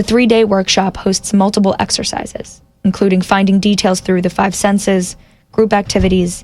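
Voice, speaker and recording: A woman of medium pitch talks at a moderate pace with vocal fry. Her intonation stays monotone and flat. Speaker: radio reporter. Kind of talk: radio news feature narration.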